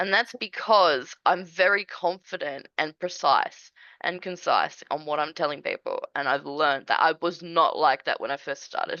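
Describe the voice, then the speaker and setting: A woman with an Australian accent, speaking at a moderate pace with hardly any pauses. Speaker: small business owner, admin services. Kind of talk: casual interview chat.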